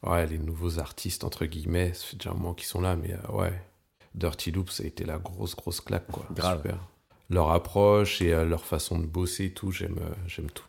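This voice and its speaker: A man's very deep, low voice comes out somewhat breathy, with fairly even intonation. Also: moderate pace. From Val-d'Oise, near Paris, France. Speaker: bassist. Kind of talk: casual interview chat.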